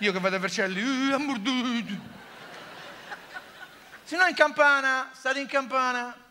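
In a Roman accent, a man uses a raised, projected voice at an extremely high pitch, with ordinary pitch variation and long, frequent pauses. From Rome. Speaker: comedian. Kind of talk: stand-up comedy monologue. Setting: theatre stage. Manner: sarcastic. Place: stage. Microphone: headset.

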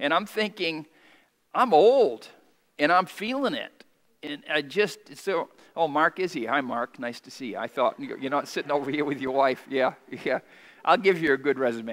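A man with a fairly high voice talks at a moderate pace with lively intonation, big swings in loudness, and long, frequent pauses. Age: 50s. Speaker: pastor. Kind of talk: sermon. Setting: church. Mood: warm, lightly humorous. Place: church. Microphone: headset.

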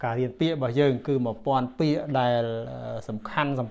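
The man's intonation is fairly even. He speaks very fast. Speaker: language teacher. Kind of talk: tutorial. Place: home room. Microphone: lapel.

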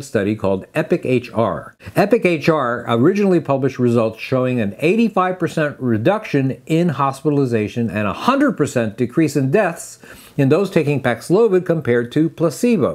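A man at a moderate pace, hardly any pauses, very wide pitch swings, and a quiet background. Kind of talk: medical explainer to camera. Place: office. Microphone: lapel.

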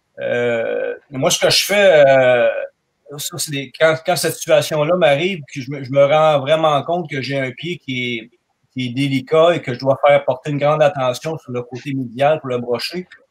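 Speaking at a fairly slow pace, this man has a fairly high pitch and ordinary pitch variation. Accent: Quebec. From Quebec, Canada. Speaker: farrier. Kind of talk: technical discussion. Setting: video call.

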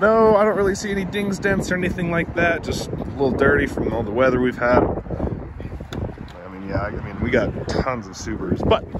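The sound is dry with no echo, though loud background noise runs underneath. A man speaks at a fairly quick pace. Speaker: car salesperson. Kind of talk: casual walkaround commentary. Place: street. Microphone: phone near.

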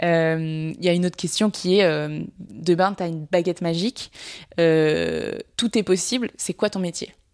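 On a very clean recording with a silent background and a dry, close sound with no echo, a woman speaks at a fairly low pitch and a fairly slow pace with ordinary pitch variation. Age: 20s. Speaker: communications director and entrepreneur. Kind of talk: interview conversation. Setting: at the host's home. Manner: energetic.

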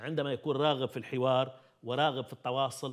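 A man is speaking. The background is quiet. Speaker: TV call-in show host. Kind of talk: live call-in talk show. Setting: studio. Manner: formal. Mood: indignant. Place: studio. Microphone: lapel.

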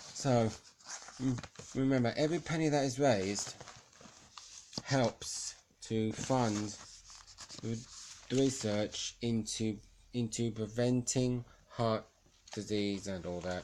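A man speaks at a very slow pace. Long, frequent pauses break up his speech. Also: medium pitch for a man, ordinary pitch variation. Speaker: charity shop volunteer. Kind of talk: casual talk to camera. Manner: stuttering.

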